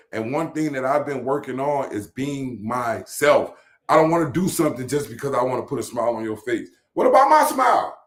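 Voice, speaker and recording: A man speaks at a fairly high pitch with ordinary pitch variation. His pace is fairly quick. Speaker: podcast host. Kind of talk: casual chat.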